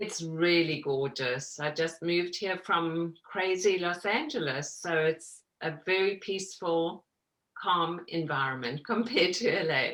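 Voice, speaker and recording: A woman speaks at a fairly slow pace with a fairly low pitch, ordinary pitch variation and a slight South African accent. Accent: South African, slight after 30 years in US. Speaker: mixed media artist. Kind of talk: interview.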